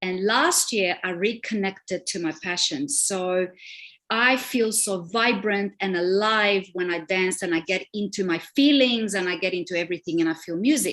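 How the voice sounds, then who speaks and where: A woman speaks with a Romanian accent at a medium pitch. Her pace is moderate and her pitch variation ordinary. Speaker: relationship coach. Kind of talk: live stream panel discussion.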